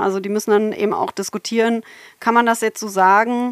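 A woman speaks at a medium pitch with fairly even intonation in a very clean, dry, close recording with no echo and a silent background. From Germany, Berlin. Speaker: computational linguistics professor. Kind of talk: interview. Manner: hesitant with many fillers.

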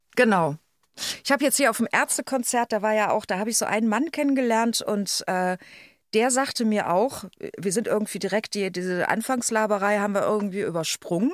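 A woman with a plain, everyday voice and fairly high pitch talks at a fairly quick pace with ordinary pitch variation. The sound is dry and close with no echo, on a very clean recording with a silent background. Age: 50s. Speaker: podcast co-host. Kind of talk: casual chat.

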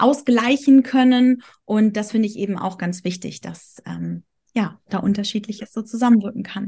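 A woman with a fairly high pitch speaks at a moderate pace, somewhat breathy. Her pitch varies in an ordinary way, and the background is quiet. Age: 30s. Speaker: astrologer. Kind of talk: casual chat.

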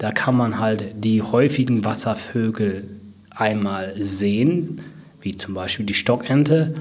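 There is noticeable background noise. A man speaks very slowly in a fairly low voice. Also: ordinary pitch variation. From Sauerland, Germany (Brilon). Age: 30s. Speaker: nature park manager. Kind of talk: interview.

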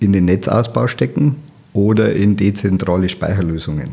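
A man speaks at a moderate pace with a dark, mellow tone, a fairly low pitch and ordinary pitch variation. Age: 50s. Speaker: automotive and energy storage engineer. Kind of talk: interview.

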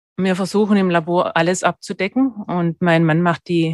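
A woman with a Swabian accent at a moderate pace, ordinary pitch variation, and a dry, close sound with no echo. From Germany, Swabia (Stuttgart). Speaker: dental technician. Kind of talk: interview.

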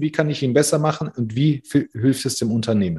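Against a quiet background, a man with a somewhat breathy voice speaks at a moderate pace. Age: 40s. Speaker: recruiting consultant. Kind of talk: casual interview.

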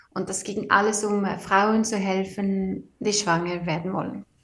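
In a Swedish accent, a woman speaks very slowly at a medium pitch. Her somewhat breathy voice stays monotone, with flat intonation. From Sweden. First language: Swedish (speaking German). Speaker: engineer and author. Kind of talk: interview. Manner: halting.

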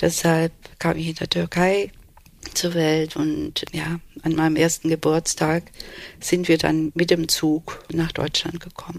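Very slowly and in a monotone, flat intonation, a woman speaks at a fairly low pitch with long, frequent pauses. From Germany (Swabia) and Istanbul, Turkey. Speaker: court interpreter and translator. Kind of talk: interview. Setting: living room in Berlin.

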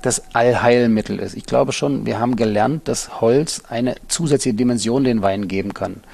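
A man speaks at a fairly slow pace with a dark, mellow tone. His medium pitch shows ordinary variation. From eastern Germany, Halle an der Saale. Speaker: winery director. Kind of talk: interview. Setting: dark room at the winery.

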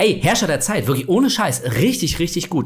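Animated in tone, a man talks at a fairly quick pace with a somewhat breathy voice. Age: 40s. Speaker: horror podcast co-host. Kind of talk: casual chat.

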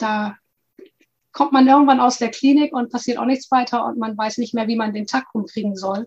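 A woman's plain, everyday voice, fairly high in pitch, with fairly even intonation and a moderate pace. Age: 50s. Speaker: health and nutrition coach. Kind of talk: interview.

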